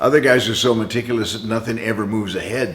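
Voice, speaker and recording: This man speaks at a very fast pace. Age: 70s. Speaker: car restoration hobbyist. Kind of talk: casual tutorial. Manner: casual, conversational.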